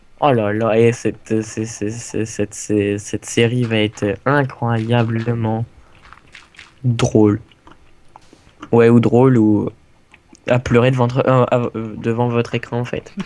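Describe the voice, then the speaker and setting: The speech moves at a very slow pace with long, frequent pauses and monotone, flat intonation. Noticeable background noise sits behind it. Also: man, medium pitch for a man. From France. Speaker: gaming youtuber. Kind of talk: casual gameplay chat. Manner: halting, searching for words.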